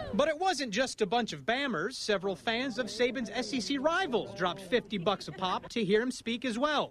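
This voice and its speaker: A man talks at an extremely high pitch with lively intonation and hardly any pauses. Noticeable background noise sits behind him. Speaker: sports anchor and reporter. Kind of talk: TV sports news anchor delivery.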